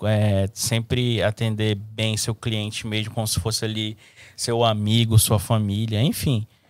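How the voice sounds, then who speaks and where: This man has an unremarkable speaking voice with a fairly low pitch, delivered at a fairly slow pace. The recording is very clean, with a silent background. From Brazil, Manaus, Amazonas. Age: 20s. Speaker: barber. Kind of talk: casual chat.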